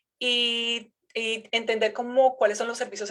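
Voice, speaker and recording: A woman talks with a Colombian accent. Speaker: researcher, geography professor. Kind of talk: academic seminar lecture. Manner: halting, many fillers and repetitions.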